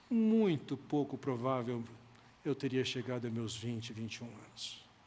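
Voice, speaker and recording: An unremarkable speaking voice from a man, medium in pitch with ordinary pitch variation, at a fairly slow pace. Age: 60s. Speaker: pastor. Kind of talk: sermon.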